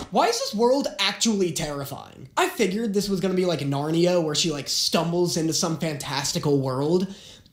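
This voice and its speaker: Someone talks at a fairly quick pace with hardly any pauses against noticeable background noise. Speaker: reaction youtuber. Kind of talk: reaction commentary. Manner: animated.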